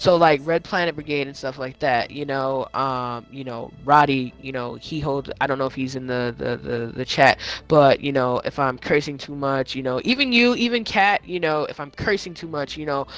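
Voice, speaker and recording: A man's pitch varies in an ordinary way. Behind him, music can be heard. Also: fairly high pitch for a man, moderate pace. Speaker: gaming podcast host and streamer. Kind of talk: casual chat. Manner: halting, many fillers.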